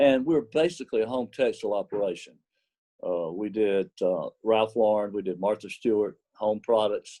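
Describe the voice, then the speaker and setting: Dry and close with no echo, a man's dark, mellow voice carries a Southern US accent at a moderate pace with ordinary pitch variation. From US South, small cotton mill village. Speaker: apparel company executive. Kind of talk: interview.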